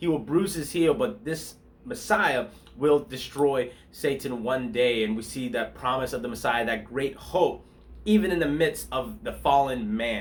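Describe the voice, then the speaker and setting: A man talks with lively intonation at a fairly high pitch. Vocal fry runs through his voice. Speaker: pastor. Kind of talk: devotional bible talk. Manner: fast; casual, conversational.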